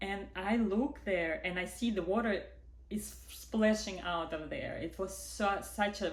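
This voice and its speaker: With a non-native accent, a woman speaks at a fairly slow pace amid audible room echo. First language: not English. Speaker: vlogger, widowed mother. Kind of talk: personal testimony. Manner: animated.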